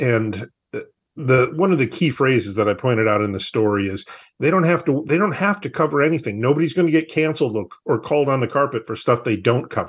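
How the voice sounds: A man with an American accent talks at a fairly quick pace. His intonation is lively, with a slightly husky edge.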